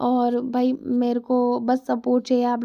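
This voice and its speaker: A dark, mellow tone from a woman pitched high. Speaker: market vlogger. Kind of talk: vlog voiceover. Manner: casual, chatty.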